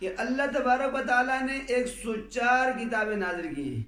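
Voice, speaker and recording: Pitched extremely high, a man's voice shows ordinary pitch variation. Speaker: Islamic scholar. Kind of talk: religious sermon.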